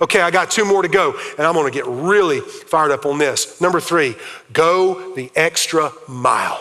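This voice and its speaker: A loud man with a South Carolina accent speaks at a high pitch with ordinary pitch variation over noticeable background noise. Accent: Southern US (South Carolina). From US South, South Carolina. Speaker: pastor. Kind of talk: sermon. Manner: fast.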